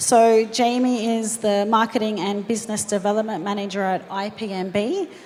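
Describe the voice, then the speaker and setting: Against noticeable background noise, a woman with an Australian accent speaks at a fairly high pitch with fairly even intonation. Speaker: panel moderator, marketing agency founder. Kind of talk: panel moderation and introductions.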